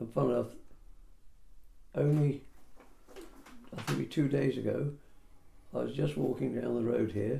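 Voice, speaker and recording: Long, frequent pauses break up a man's speech, which moves at a moderate pace. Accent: English. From Peterborough, England. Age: 80s+. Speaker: property surveyor. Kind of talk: oral history interview answer.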